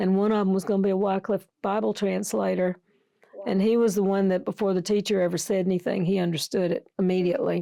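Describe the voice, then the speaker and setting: A woman with an Alabama accent talks very fast at a medium pitch in a dark, mellow tone. Her intonation is fairly even and her loudness very even. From US South, Tuscaloosa, Alabama. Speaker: missionary nurse. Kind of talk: interview, casual chat.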